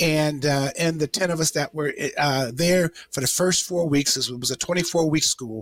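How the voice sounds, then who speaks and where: In an American accent, the speech comes at a fairly slow pace with a dry, close sound and no echo. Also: man. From Detroit, Michigan. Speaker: retired senior military leader, teacher. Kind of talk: interview conversation.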